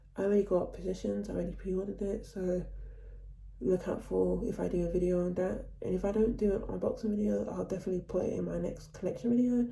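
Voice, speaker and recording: Audible room echo hangs around this speaker. She is a woman talking at a very fast pace. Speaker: vlogger / vinyl collector. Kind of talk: casual vlog talk.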